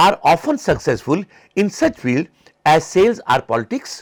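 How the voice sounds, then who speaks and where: A man's high-pitched voice with very wide pitch swings at a moderate pace, on a very clean recording with a silent background and a dry, close sound with no echo. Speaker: psychology lecturer. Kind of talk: lecture. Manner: halting.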